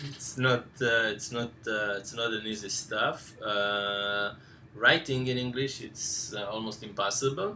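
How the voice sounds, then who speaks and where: Fairly slow and fairly even in intonation, the speaker talks with a non-native accent against noticeable background noise. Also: man, medium pitch for a man. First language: not English. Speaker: course instructor. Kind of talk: live Q&A session. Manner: halting, many fillers.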